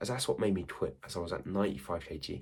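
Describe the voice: A man talks at a fairly quick pace in a low pitch. His tone is slightly mellow, and his pitch variation is ordinary.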